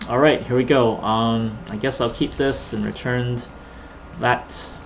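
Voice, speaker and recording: In a room with audible echo and noticeable background noise, a man speaks fairly slowly at a medium pitch in a monotone, flat intonation. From Canada. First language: Cantonese. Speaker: gaming YouTuber. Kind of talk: gameplay commentary. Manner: casual, rambling with repetitions.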